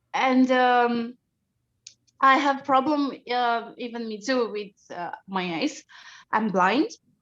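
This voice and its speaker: A woman with a Romanian accent speaks at a very slow pace in a high voice, with long, frequent pauses, big swings in loudness, and a quiet background. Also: ordinary pitch variation. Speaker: live audience member asking a question. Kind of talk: audience question. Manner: halting.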